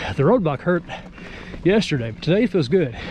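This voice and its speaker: A man with a Southern US accent and a high pitch speaks in a relaxed tone at a moderate pace, with noticeable background noise. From US South. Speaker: mountain biking vlogger. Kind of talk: casual vlog narration while riding. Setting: outdoors on a trail. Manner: relaxed conversational.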